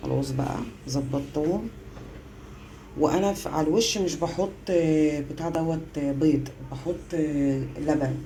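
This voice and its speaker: A woman's very deep, low voice at a very slow pace, fairly even in intonation, with noticeable background noise and audible room echo. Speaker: home cooking vlogger, mother. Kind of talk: casual cooking vlog. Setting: home kitchen, power cut. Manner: chatty, relaxed.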